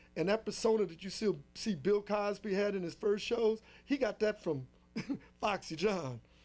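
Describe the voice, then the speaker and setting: High-pitched for a man, this voice carries lively intonation. He talks at a moderate pace. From Los Angeles, US. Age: 60s. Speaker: drummer. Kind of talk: interview.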